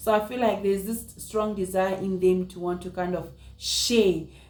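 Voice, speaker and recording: A woman's medium-pitched voice holds a fairly even intonation, with audible room echo around it. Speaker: vlogger. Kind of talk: casual vlog talk. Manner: fast; halting, repetitive.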